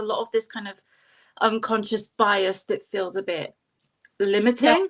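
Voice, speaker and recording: A woman with a Bristol accent at a fairly slow pace. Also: very clean recording, silent background. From England, Bristol. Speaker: psychic and life mentor. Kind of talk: casual interview chat.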